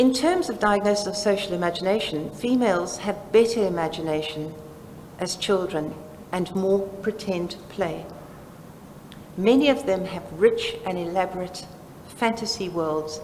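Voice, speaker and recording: A South African accent amid noticeable background noise and audible room echo. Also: woman, medium pitch for a woman, ordinary pitch variation, moderate pace. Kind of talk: conference presentation. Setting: seminar with live audience.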